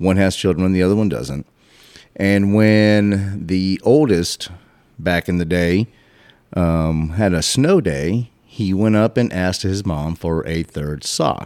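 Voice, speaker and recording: With ordinary pitch variation, a man speaks at a very slow pace in a very deep, low voice. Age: 40s. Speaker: podcast host guest. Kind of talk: casual chat.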